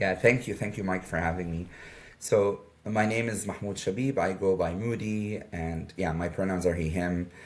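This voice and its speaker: A man with a very deep, low pitch, fairly even intonation and a moderate pace. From Jordan. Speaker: media advisor for a nonprofit. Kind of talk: interview. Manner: hesitant with fillers.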